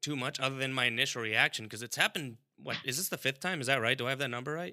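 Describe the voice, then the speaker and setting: This man talks at a very fast pace. His voice is medium-pitched, with a bright, sharp tone. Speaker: podcast host. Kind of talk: casual chat. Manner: joking, banter.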